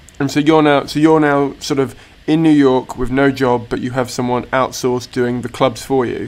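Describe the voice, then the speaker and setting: Speaking at a moderate pace in a British accent, a man keeps a medium pitch and monotone, flat intonation. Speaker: comedian and podcast host. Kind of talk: interview.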